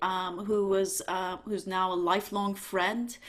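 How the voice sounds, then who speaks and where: This woman has a Turkish accent. Her pitch sits in the medium range. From Turkey. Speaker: university dean, economics professor. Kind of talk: panel discussion on video call. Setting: video call.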